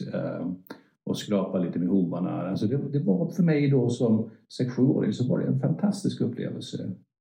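His pitch swings very widely as this man speaks at a moderate pace. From northern Sweden, Örnsköldsvik. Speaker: veterinarian. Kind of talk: interview. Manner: halting.

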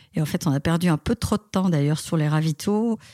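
Captured with a dry, close sound and no echo, a woman speaks at a fairly low pitch in a dark, mellow tone with ordinary pitch variation. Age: 50s. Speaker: amateur runner. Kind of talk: interview. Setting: remote call.

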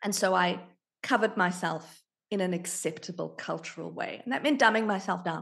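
Speaking at a fairly quick pace, a woman uses a medium pitch with ordinary pitch variation and some vocal fry. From South Africa. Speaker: marketing leader and board member. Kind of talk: interview conversation.

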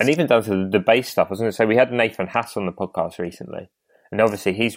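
This is a man's voice. The audio is dry and close-up, free of any echo. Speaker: podcast host. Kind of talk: casual chat; ad read.

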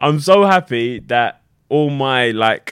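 This is a man speaking. He has a British accent. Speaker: reality TV contestant. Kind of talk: casual chat.

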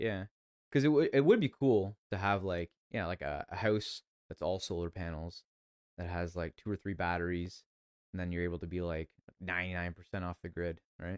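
Dry and close with no echo, a very clean recording with a silent background captures a man speaking at a moderate pace in a very deep, low voice with ordinary pitch variation. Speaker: podcast host. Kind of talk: casual chat. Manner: loud.

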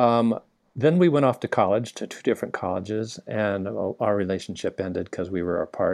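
Lively in intonation and at a fairly quick pace, the speaker uses an American accent against a quiet background. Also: man, fairly low pitch for a man, dry, close sound with no echo. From US, Southern California. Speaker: naturopathic doctor. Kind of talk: interview.

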